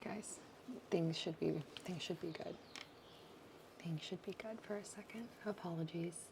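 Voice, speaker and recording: Soft-spoken and somewhat breathy, a woman talks at a fairly low pitch and a fairly slow pace, with fairly even intonation and long, frequent pauses. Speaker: ASMR streamer. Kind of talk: casual livestream talk to chat.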